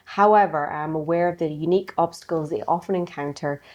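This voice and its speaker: Speaking at a fairly quick pace, a woman with a Scottish accent has a very deep, low pitch and fairly even intonation. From Scotland. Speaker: podcast host, banker. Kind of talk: interview.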